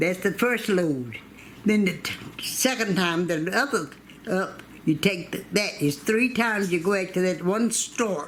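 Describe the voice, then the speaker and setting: A woman with a Southern US accent speaks at a fairly slow pace in a medium pitch with lively intonation. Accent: Southern American. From North Carolina, USA. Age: 80s+. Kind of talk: oral history interview answer.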